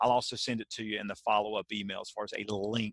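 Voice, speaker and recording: A man with a Southern US accent and a bright, sharp tone talks at a very fast pace in a dry, close sound with no echo. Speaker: keynote speaker and author. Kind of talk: webinar presentation. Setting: video call.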